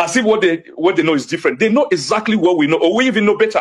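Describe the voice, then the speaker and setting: Speaking at a very fast pace with very wide pitch swings, a man with a Nigerian accent uses a high pitch. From Nigeria, Jos (Plateau State). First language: Hausa. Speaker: community voice from attacked area. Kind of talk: TV interview. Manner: animated.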